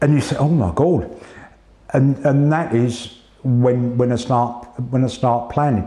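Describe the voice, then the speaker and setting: In a British accent, a man talks at a fairly slow pace and medium pitch with ordinary pitch variation, very even loudness, and long, frequent pauses, amid audible room echo and noticeable background noise. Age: 60s. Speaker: cancer patient. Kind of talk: interview. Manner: halting.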